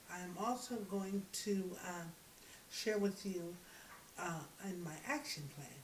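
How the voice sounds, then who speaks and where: Speech comes at a very slow pace with long, frequent pauses and ordinary pitch variation. Audible room echo and noticeable background noise fill the recording. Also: woman, medium pitch for a woman. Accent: American. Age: 40s. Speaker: graduate student. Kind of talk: class presentation. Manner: halting.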